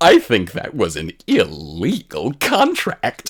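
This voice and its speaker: Using a put-on character voice, a man speaks at a fairly slow pace. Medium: read story. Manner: gleeful, giggly.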